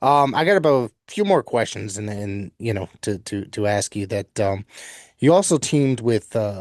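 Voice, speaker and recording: Man with an unremarkable speaking voice, fairly low pitch, ordinary pitch variation, and a moderate pace against a quiet background. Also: big swings in loudness, dry, close sound with no echo. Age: 50s. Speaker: podcast host. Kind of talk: interview. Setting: podcast interview.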